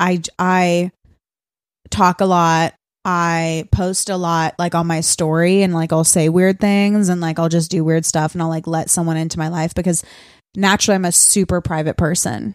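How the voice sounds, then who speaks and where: A woman's fairly low voice at a moderate pace, with fairly even intonation, in a very clean recording against a silent background. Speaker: podcast co-host. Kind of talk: casual chat.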